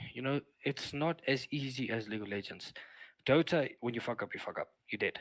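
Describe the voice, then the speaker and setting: Here a man with a South African accent talks at medium pitch with ordinary pitch variation. The sound is dry and close with no echo, on a very clean recording with a silent background. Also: fairly quick pace. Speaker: streamer, former wildlife lodge worker. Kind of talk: casual chat.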